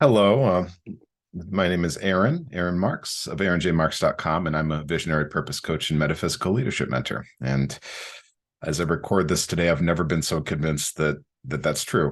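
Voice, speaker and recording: A man with a very deep, low pitch and vocal fry speaks at a fairly quick pace. His pitch variation is ordinary, and the background is quiet. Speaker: podcast host and coach. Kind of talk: reflective monologue. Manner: halting, many fillers and repetitions.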